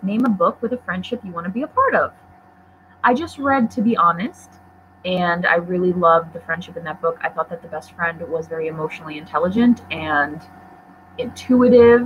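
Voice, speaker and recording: Noticeable background noise accompanies a woman speaking. Her pace is fairly quick and her intonation lively. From Poland. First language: Polish. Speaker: book YouTuber. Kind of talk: casual livestream chat. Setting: livestream on laptop.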